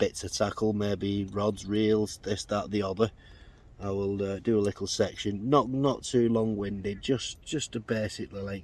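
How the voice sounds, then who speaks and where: A man talks with an English accent at a moderate pace. His pitch sits fairly low. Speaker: angler vlogger. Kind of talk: casual vlog. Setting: outdoors. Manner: loud; hesitant.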